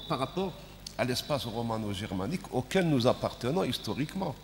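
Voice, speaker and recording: Noticeable background noise sits behind a man whose voice makes very wide pitch swings. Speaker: panel moderator. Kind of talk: panel discussion.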